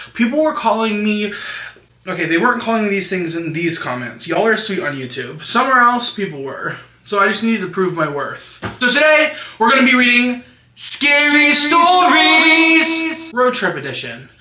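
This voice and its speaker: Over noticeable background noise, a man raises and projects his extremely high voice, pitch swinging very widely. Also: moderate pace. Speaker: YouTuber. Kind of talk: casual talk to camera. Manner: chatty, profane.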